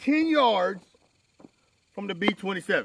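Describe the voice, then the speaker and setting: A loud man with a bright, sharp tone and very wide pitch swings, in a dry, close sound with no echo. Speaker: firearms instructor. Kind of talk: tutorial. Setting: outdoor shooting range.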